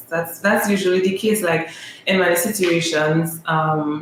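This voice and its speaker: With a Trinidadian accent, a woman speaks at a fairly slow pace in a fairly low pitch with fairly even intonation, over noticeable background noise. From Trinidad and Tobago. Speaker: volleyball player. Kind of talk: interview conversation.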